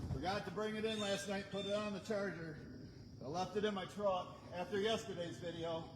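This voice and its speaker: Loud and at a fairly quick pace, a man speaks at a high pitch with fairly even intonation, with audible room echo and noticeable background noise. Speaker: firewood seller and video host. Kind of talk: live stream casual talk while working. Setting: outdoors at a wood pile. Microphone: no microphone, camera mic; microphone battery died.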